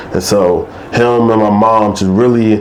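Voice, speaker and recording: A man with fairly low pitch mumbles amid noticeable background noise and audible room echo. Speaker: mental health storyteller. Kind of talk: interview. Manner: mumbling; halting.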